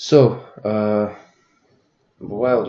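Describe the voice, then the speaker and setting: A fairly low-pitched man's voice in a Russian accent, with monotone, flat intonation. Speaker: forex trader. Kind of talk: tutorial. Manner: halting.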